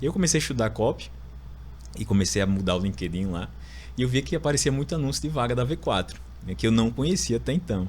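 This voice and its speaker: A man with an Alagoas accent, fairly low pitch and vocal fry. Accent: northeastern Brazilian (Alagoas), noticeable. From Alagoas, Brazil (Maceió). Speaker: lawyer turned marketing executive. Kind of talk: podcast interview, personal story.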